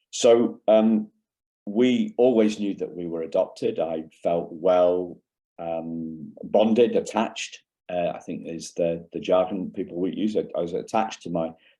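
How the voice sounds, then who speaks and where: At a fairly slow pace, a man speaks with a slight English accent. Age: 50s. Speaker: keynote speaker. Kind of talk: conference keynote talk. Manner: halting, many fillers.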